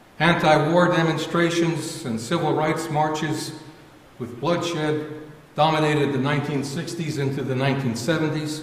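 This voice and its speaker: In an American accent, a man talks at a fairly slow pace with a fairly high pitch and monotone, flat intonation. Audible room echo and noticeable background noise fill the recording. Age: 70s. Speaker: church member giving reflection. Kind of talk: sermon.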